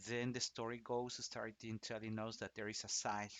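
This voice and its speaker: With a Spanish accent, a man speaks at a medium pitch. His intonation stays monotone and flat. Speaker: opera singer. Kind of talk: casual explanatory talk. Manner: halting, many restarts and fillers.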